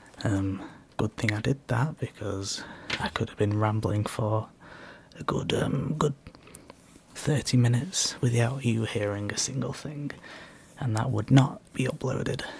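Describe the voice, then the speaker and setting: The delivery is fairly slow and gentle in tone, with long, frequent pauses. Noticeable background noise sits under the voice. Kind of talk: ASMR whispered questions, rambling casual talk to camera. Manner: soft-spoken, gentle, rambling, conversational.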